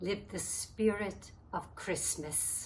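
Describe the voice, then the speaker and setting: Lively intonation in a woman's somewhat breathy voice. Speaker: dialect coach. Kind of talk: short story reading.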